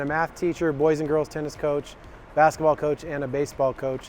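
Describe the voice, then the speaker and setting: Speaking with an American accent, a man keeps a fairly quick pace. His pitch is fairly high and his intonation monotone and flat. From Colorado. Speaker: athletic director. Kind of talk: recorded video address to families. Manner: casual with many fillers.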